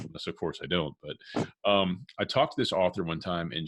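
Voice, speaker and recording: A man with a very deep, low voice speaks in a very clean recording over a silent background. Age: 30s. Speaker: podcast host. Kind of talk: interview.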